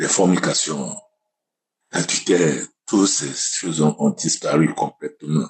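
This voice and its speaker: A man talks very slowly, pausing often and at length. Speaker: testimony giver. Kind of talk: testimony.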